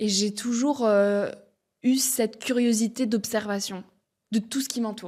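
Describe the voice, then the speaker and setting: On a very clean recording with a silent background, a woman speaks in a dark, mellow, somewhat breathy voice, fairly high in pitch and fairly even in intonation. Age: 20s. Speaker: podcaster and speaker. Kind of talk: interview conversation.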